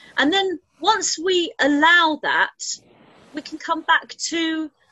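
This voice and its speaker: A woman talks with an English accent. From England. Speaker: spiritual channeler. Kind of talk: casual chat.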